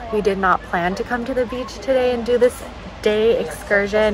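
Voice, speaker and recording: Clear music plays behind a woman speaking. The sound is dry, with no echo. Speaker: travel vlogger. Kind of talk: casual vlog chat. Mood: relaxed, happy. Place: cafe. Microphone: phone near.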